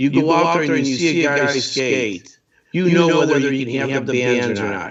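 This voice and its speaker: Speaking at a moderate pace, a man with an ordinary speaking voice keeps a fairly high pitch with ordinary pitch variation. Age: 60s. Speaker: hockey referee assigner. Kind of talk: interview on live stream show.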